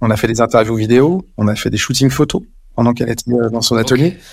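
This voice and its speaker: In a very clean recording with a silent background, a man speaks at a very fast pace. His pitch is medium and his intonation fairly even. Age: 50s. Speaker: communication agency director. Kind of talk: interview. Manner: halting.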